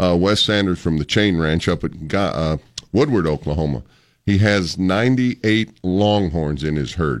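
In a very clean recording with a silent background, a man with a very deep, low voice talks at a moderate pace, animated in tone and lively in intonation. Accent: American. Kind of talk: radio promo chat, upbeat on-air banter promoting a rodeo. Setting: radio studio, live interview. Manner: animated, folksy and jovial, with cowboy-themed showmanship.

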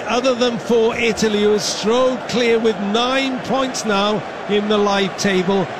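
Over noticeable background noise, a man with a high pitch and ordinary pitch variation speaks at a fairly slow pace. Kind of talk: live radio match commentary, play-by-play.

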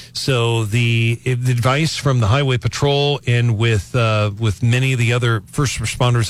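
In a somewhat breathy voice, a man speaks at a moderate pace with fairly even intonation. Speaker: radio news director. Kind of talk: news report. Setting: studio.

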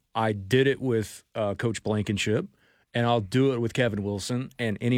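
Using a normal speaking voice, a man talks at medium pitch and moderate pace on a very clean recording with a silent background. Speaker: radio sports talk host. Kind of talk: radio dj patter: promo read for a text-to-win giveaway, then bantering with co-host. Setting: radio studio. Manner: brisk, upbeat, promo-reading, good-natured.

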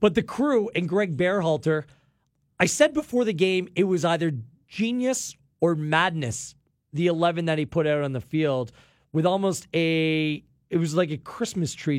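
A man's plain, everyday voice, fairly high in pitch and fairly slow, with ordinary pitch variation, on a very clean recording with a silent background. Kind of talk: tactical match analysis, friendly debate over a replay.

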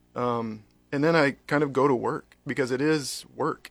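A normal speaking voice from a man with an American accent, fairly high in pitch, fairly slow, and fairly even in intonation. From North Carolina. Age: 40s. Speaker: pastor. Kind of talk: casual chat.

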